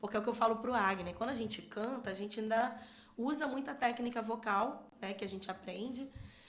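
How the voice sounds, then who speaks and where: A woman talks at a fairly quick clip in a fairly high, somewhat breathy voice with fairly even intonation, and audible room echo surrounds her. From Rio de Janeiro state, São Gonçalo. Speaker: church minister and singer. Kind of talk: podcast interview.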